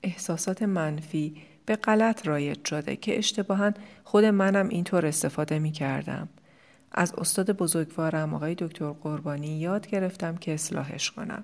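A woman with a fairly low pitch has an unremarkable speaking voice. She keeps a moderate pace with ordinary pitch variation. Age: 40s. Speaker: life coach and podcast host. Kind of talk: solo podcast monologue.

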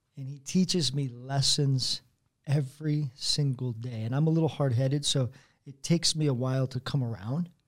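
At a moderate pace, a man with a fairly high pitch speaks in a somewhat breathy voice, his intonation fairly even but his loudness swinging widely. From Colorado, US. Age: 40s. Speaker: youth pastor. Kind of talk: casual chat.

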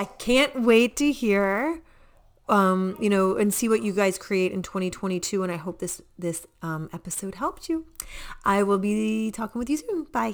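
Animated in tone with lively intonation, the speaker uses an American accent at a moderate pace on a very clean recording with a silent background. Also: woman, medium pitch for a woman. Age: 40s. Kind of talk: infomercial-style sales pitch. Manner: excitable, animated, chatty; salesy, urgent, pushing a deadline offer.

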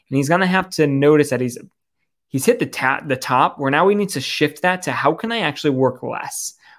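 In a normal speaking voice, a man talks at a fairly quick pace with fairly high pitch and ordinary pitch variation, recorded very cleanly against a silent background. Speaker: entrepreneur and life coach. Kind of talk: casual conversation.

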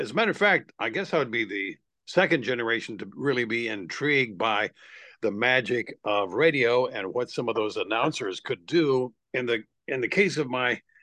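A plain, everyday voice from a man at medium pitch, moderate pace and ordinary pitch variation, over a quiet background. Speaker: voice-over actor. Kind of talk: casual interview.

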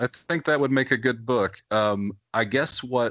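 A man with an unremarkable speaking voice and an American accent talks at a moderate pace against a quiet background. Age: 40s. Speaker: high school English teacher. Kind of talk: casual chat.

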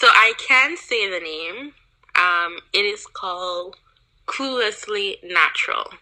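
Speaking very slowly in a Jamaican accent, a woman uses a bright, sharp tone, a medium pitch and lively intonation. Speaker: YouTuber. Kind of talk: casual chat.

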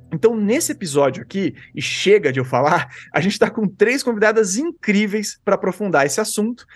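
A man talks at a fairly quick pace with lively intonation. His pitch is high, and the background is quiet. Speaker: podcast host. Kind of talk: panel discussion.

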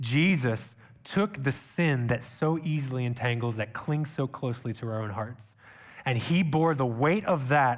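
A man with an unremarkable speaking voice talks fairly slowly at medium pitch, using lively intonation. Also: very clean recording, silent background. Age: 30s. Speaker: missionary preacher. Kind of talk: sermon. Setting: church.

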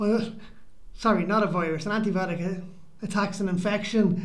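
A man's high, monotone voice in an Irish accent, flat in intonation, at a fairly quick pace with audible room echo. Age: 40s. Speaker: podcast co-host. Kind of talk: casual chat. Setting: community centre.

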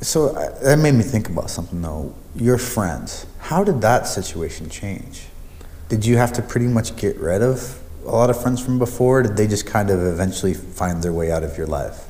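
There is noticeable background noise behind a man speaking at a medium pitch. His intonation is lively and his pace moderate. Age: 30s. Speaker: podcast interviewer. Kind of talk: casual interview chat.

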